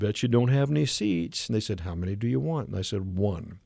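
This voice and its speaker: A man with a Midwestern US accent talks very fast in a very clean recording over a silent background. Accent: US Midwest. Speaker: comic artist and voice performer. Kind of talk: interview. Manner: animated storytelling; halting.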